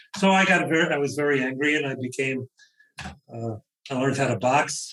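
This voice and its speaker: Speaking in a Brooklyn accent, a man uses ordinary pitch variation. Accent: New York (Brooklyn). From US Northeast, Brooklyn, New York. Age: 70s. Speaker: author. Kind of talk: interview.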